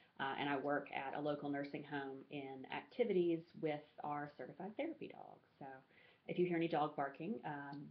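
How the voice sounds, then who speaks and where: With an Alabama accent, a woman talks at a fairly quick pace in a very deep, low pitch. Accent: Southern US (Alabama). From US South, rural Alabama. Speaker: graduate student. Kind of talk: class presentation. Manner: halting, many fillers.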